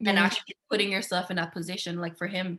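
Her tone bright and sharp, a woman speaks at a very fast pace with fairly even intonation. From Guyana. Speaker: master's student. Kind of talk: casual chat.

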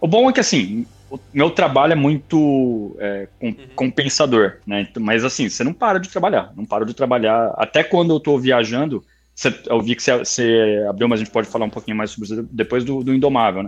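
A man in a normal speaking voice, medium in pitch, with lively intonation and a fairly quick pace, against a quiet background. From Brazil, São Paulo state interior (Campinas area). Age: 30s. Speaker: kart racing league owner. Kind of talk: casual interview.

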